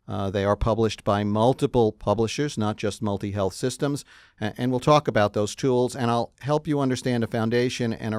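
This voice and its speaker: A man with a New York accent is heard in a dry, close sound with no echo. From New York City. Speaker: clinical psychologist, presenter. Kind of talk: webinar lecture. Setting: studio, live webinar. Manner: hesitant fillers (uh).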